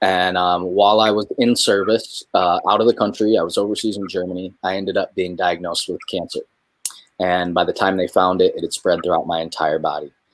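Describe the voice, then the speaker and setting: With a Midwestern accent, a man speaks at a fairly quick pace in a very deep, low pitch and fairly even intonation. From New York, then Michigan. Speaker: spoken word poet, military veteran. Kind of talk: casual conversation in a livestream.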